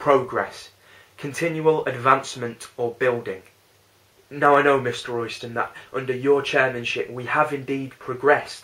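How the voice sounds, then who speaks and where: Over noticeable background noise, a man with a Lancashire accent speaks at a medium pitch and moderate pace with fairly even intonation. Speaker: spoken word poet. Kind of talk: spoken word poetry performance.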